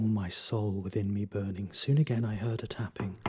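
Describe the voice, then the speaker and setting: Fairly even intonation marks this man's fairly quick speech. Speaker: voice actor. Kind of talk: poetry reading. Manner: dramatic, expressive.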